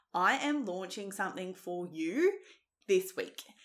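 An animated woman's voice with a bright, sharp tone and an Australian accent, at a fairly slow pace. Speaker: fitness coach and nutritionist. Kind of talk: solo podcast monologue.

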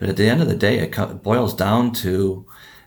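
With an Upper Midwest accent, a man speaks at a fairly low pitch with vocal fry. His pace is fairly slow, and his pitch varies in an ordinary way. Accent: Upper Midwest American. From Wisconsin (Oconomowoc). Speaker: baseball coach and academy owner. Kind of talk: casual interview chat.

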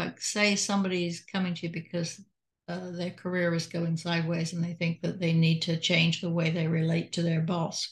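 Against a quiet background, a woman with an English accent talks at a fairly quick pace in a fairly low, somewhat breathy voice. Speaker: retired doctor and hypnotist. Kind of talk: casual conversation. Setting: video call.

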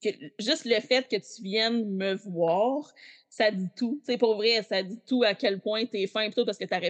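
A woman's fairly high-pitched voice with a Quebec accent, at a fairly slow pace. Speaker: Backstreet Boys superfan. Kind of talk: casual chat.

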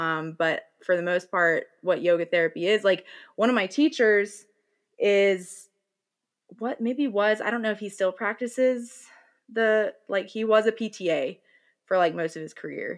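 Using an ordinary speaking voice, a woman with an American accent talks at a fairly slow pace. Her pitch is medium, with ordinary variation. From US South, North Carolina. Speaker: podcast host, yoga guide. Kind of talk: casual interview conversation.

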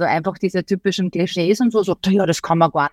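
On a very clean recording with a silent background, a woman with an unremarkable speaking voice and medium pitch uses fairly even intonation, the sound dry and close with no echo. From Austria. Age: 40s. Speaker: journalist and podcaster. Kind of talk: interview.

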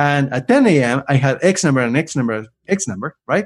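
A man with an Argentine accent speaks in a fairly high pitch, his intonation lively against a quiet background. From Argentina. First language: Spanish. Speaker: LinkedIn influencer and career coach. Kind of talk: interview. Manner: animated; fast talker.

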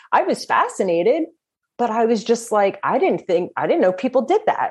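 The speaker has a New Jersey accent and talks at a fairly quick pace. The pitch swings very widely. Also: woman. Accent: New Jersey American. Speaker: death doula, former pastry chef. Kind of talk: interview conversation.

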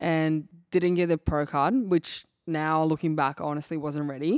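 A speaker with a Serbian accent keeps a moderate pace and fairly even intonation on a very clean recording with a silent background. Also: woman. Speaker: bikini competitor. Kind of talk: casual interview chat. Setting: studio.

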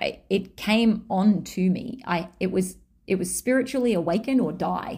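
With an Australian accent, a woman speaks at a medium pitch in a dark, mellow tone that is somewhat breathy, on a very clean recording with a silent background. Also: ordinary pitch variation, moderate pace. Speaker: podcast host and human design teacher. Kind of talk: solo podcast monologue, personal storytelling.

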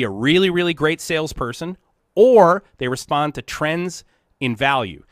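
On a very clean recording with a silent background, a man's fairly high voice, a normal speaking voice with lively intonation and a fairly quick pace. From US Rust Belt. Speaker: industrial technology consultant and show host. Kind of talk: live-stream Q&A, conversational teaching.

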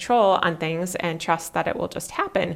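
With an American accent, a woman speaks at a moderate pace with a fairly low pitch. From Minnesota. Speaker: life coach and podcast host. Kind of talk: solo podcast monologue. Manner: casual, frequent laughter.

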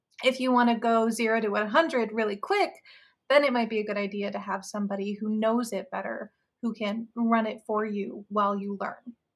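An unremarkable speaking voice with an American accent, fairly quick in pace and fairly even in intonation, on a very clean recording with a silent background. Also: woman, fairly high pitch for a woman. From Iowa, Des Moines. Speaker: marketing manager. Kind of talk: casual chat.

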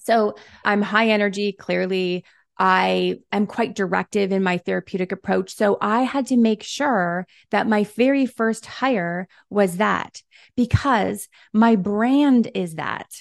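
In a Canadian accent, a woman with a medium pitch speaks at a very slow pace with ordinary pitch variation, in a dry, close sound with no echo and a quiet background. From Canada. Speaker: retired psychologist and business coach. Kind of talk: interview. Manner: animated.

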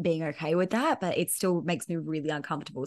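A woman's fairly low voice at a fairly quick pace, with ordinary pitch variation against a quiet background. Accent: Australian. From Perth, Western Australia. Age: 30s. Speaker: business coach. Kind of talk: casual interview chat.

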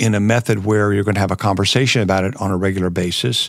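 Recorded very cleanly over a silent background, a man talks fairly quickly in an ordinary speaking voice with fairly even intonation. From US South, Florida (Jacksonville). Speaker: business professor and former entrepreneur. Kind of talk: interview.

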